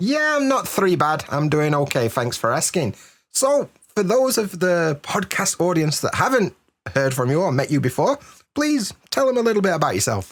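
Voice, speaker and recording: A man with a British accent and a high pitch speaks at a moderate pace, his pitch swinging very widely while his loudness stays very even, in a very clean recording with a silent background. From Britain. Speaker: podcast host. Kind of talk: podcast interview.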